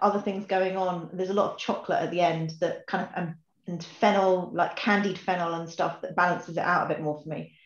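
A woman talks at a fairly quick pace in a medium pitch. Audible room echo surrounds her voice. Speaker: whisky tasting participant. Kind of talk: online tasting session chat. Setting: video call. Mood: relaxed, cheerful. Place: home room. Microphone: webcam.

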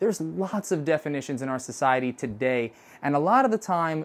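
A man speaks here. His pitch swings very widely. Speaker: course instructor. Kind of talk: lecture. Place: studio. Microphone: lapel.

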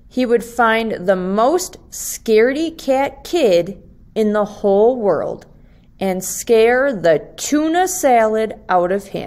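Speaking at a slow pace, a woman uses lively intonation, a fairly high pitch and a slightly mellow tone.

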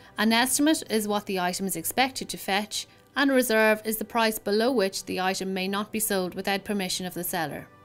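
With music in the background, a woman speaks at a moderate pace and a fairly high pitch, her intonation lively. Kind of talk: corporate promotional narration explaining an auction house's selling steps. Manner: clear, professional, measured.

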